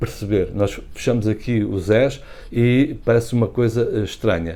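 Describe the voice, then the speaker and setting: Speaking with a European Portuguese accent, a man has a dark, mellow tone and ordinary pitch variation. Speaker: language channel host. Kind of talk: casual educational talk to camera.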